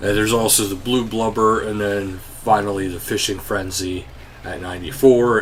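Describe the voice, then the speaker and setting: Music plays in the background, and audible room echo carries a man's voice. He talks at a moderate pace with fairly even intonation. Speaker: gaming YouTuber. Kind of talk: game update walkthrough. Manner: casual, with fillers.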